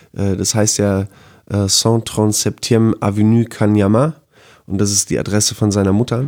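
Against a silent background in a very clean recording, a man speaks at a very slow pace with a dark, mellow tone, a fairly low pitch and fairly even intonation. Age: 30s. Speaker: music journalist. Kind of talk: casual chat.

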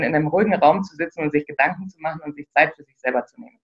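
With ordinary pitch variation, this woman speaks very fast. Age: 30s. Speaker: operations manager and self-organization trainer. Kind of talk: interview. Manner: hesitant, many fillers.

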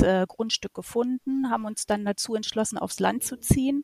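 A woman speaks with monotone, flat intonation. The recording sounds dry and close, with no echo. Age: 40s. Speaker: holiday rental host and shop owner. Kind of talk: interview.

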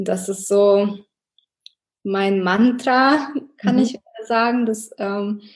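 A woman's somewhat breathy voice stays fairly even in intonation. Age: 30s. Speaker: engineer and mother sharing a weight-loss story. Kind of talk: podcast interview.

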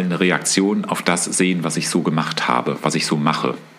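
Noticeable background noise sits behind this recording. A man speaks in a very deep, low voice. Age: 50s. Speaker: painter, host's father. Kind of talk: casual chat. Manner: halting.

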